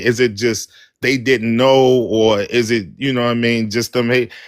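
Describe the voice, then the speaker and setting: A man speaks with a Baltimore accent. The recording is very clean, with a silent background. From West Baltimore, Maryland. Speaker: caller on live talk stream. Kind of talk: casual chat.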